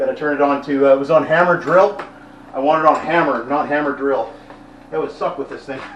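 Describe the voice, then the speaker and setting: Amid noticeable background noise and audible room echo, a man talks at a fairly quick pace in a fairly high pitch with fairly even intonation. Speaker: vlogger doing handyman work. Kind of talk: casual vlog narration while working. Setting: church building, indoor work site. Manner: loud.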